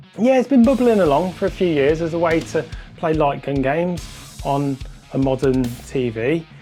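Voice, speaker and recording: Moderate pacing over background music. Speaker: retro gaming YouTuber. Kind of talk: casual talk to camera.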